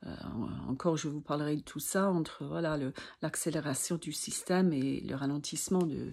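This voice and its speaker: A woman's very deep, low voice at a moderate pace, with fairly even intonation, on a very clean recording with a silent background. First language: not French (speaking French). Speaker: sophrology practitioner and vertigo sufferer. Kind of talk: personal video talk to camera. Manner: halting, many hesitations.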